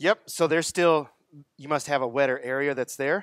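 A man speaks at a fairly quick pace with ordinary pitch variation. The sound is dry with no echo, and the background is quiet. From Texas. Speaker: product distributor sales rep. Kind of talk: seminar presentation to audience. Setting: live audience at garden center event. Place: garden. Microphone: headset.

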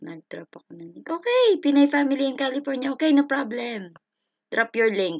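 A woman speaks in a high, animated voice with lively intonation at a moderate pace. Her loudness swings widely. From Philippines. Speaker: live streamer teaching Japanese. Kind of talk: live stream lesson and chat. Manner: animated, frequent laughter.

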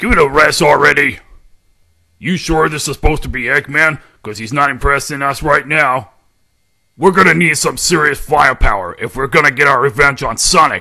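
A man's put-on character voice, fairly high in pitch and fairly quick in pace, over a quiet background. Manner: aggressive, brash.

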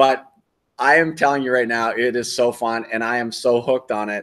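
A man with an American accent uses an ordinary speaking voice at a medium pitch, with fairly even intonation over a quiet background. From United States. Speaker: RV travel vlogger; travel vlogger host. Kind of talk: live stream Q&A. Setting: outdoors. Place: home room.

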